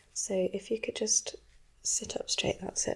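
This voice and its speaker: A woman speaks softly at a fairly high pitch. Her tone is gentle. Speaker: ASMR creator playing a doctor. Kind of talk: ASMR medical roleplay, personal attention. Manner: soft-spoken, gentle.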